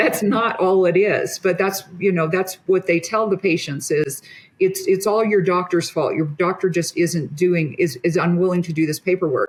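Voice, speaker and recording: With hardly any pauses, a woman speaks at a moderate pace in a medium pitch, her voice somewhat breathy, her intonation fairly even and her loudness very even. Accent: American. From US Midwest. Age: 60s. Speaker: physician. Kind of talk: casual chat.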